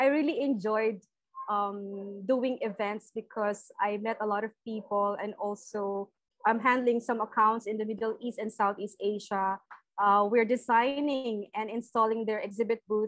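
A woman speaks at a moderate pace, the sound dry with no echo and the background quiet. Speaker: remote podcast guest. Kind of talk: interview answer. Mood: cheerful, friendly. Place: home room.

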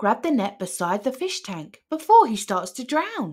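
A woman's put-on character voice, fairly high in pitch, with big pitch swings, a slightly mellow tone, a slightly husky edge and a fairly slow pace. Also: very clean recording, silent background.

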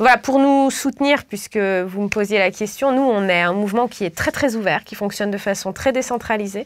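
A woman's fairly high voice, an ordinary speaking voice, at a moderate pace with hardly any pauses, ordinary pitch variation and light background noise. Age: 30s. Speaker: political candidate and professor; candidate, professor. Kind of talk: political interview. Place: studio. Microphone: lapel.

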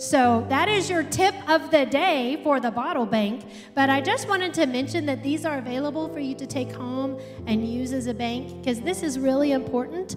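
A woman's high voice at a moderate pace, with clear music in the background. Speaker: speaker. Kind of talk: announcements to congregation. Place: church. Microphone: handheld.

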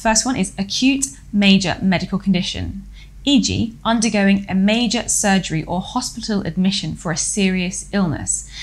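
Her pitch varies in an ordinary way. The woman keeps a moderate pace. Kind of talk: explainer lecture. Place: home room.

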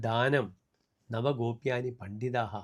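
A man talks in a medium pitch with monotone, flat intonation. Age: 60s. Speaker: astrologer. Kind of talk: horoscope forecast monologue. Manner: formal.

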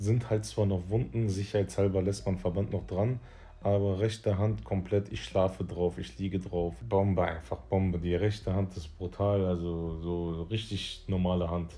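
Soft-spoken and somewhat breathy, a man talks with a very deep, low pitch and a dark, mellow tone. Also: ordinary pitch variation, moderate pace. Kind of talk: casual vlog chat. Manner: drowsy, murmured talk from bed. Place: home room. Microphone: phone near.

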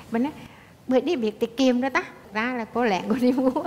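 Against light background noise, a woman with a Southern Vietnamese accent talks at a fairly quick pace. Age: 60s. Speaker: daughter-in-law guest on a talk show; talk show guest. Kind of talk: casual chat. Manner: animated. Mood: warm, amused storytelling. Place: studio.

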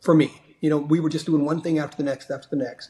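A somewhat breathy male voice. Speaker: remote podcast guest. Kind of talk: interview answer. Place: home room. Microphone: video call.

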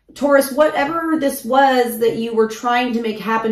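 Audible room echo surrounds a woman talking at a moderate pace with ordinary pitch variation over a quiet background. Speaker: tarot reader. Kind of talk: casual tarot reading talk. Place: home room.

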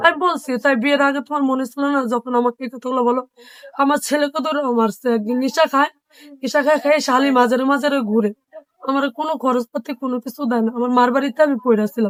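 The intonation stays fairly even. There is a dry, close sound with no echo. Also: woman, high pitch for a woman. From Bangladesh, Dhaka. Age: 20s. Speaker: domestic worker and single mother. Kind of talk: interview testimony.

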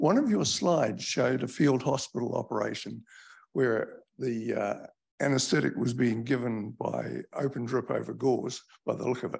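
A man with a New Zealand accent speaks at a moderate pace over a quiet background. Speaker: event host. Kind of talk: formal introduction. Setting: stage with audience.

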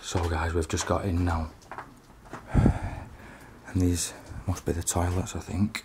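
The words come at a very slow pace over loud background noise. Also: man. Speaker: urban explorer vlogger. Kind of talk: casual vlog chat. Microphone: phone near.

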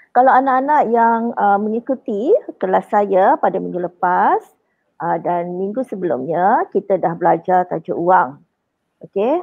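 A woman talks at a fairly slow pace in a medium pitch, a plain, everyday voice. The background is quiet. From Johor, Malaysia. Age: 40s. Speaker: primary school maths teacher. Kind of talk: lecture. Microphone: webcam.

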